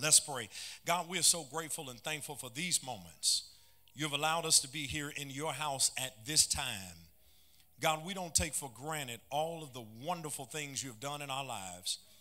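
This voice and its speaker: A man's bright, sharp tone with vocal fry, at a moderate pace. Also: ordinary pitch variation, quiet background. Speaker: pastor. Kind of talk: sermon. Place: church. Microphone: handheld.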